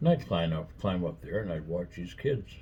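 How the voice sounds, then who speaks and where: The voice has vocal fry and moves at a moderate pace. Pitch varies in an ordinary way. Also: man. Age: 70s. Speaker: vlogger. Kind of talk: casual chat. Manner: rambling with fillers.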